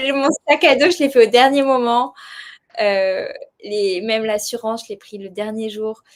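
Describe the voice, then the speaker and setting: A woman at a fairly high pitch, with fairly even intonation and a moderate pace. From southern France. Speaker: world traveller, association founder. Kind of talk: podcast interview. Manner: hesitant, many fillers.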